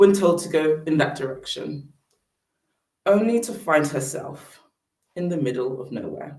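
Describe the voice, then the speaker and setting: In a British accent, a woman with a very deep, low pitch speaks somewhat breathily and with lively intonation, amid audible room echo. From Britain. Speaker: public speaker on sustainable fashion. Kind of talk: presentation talk.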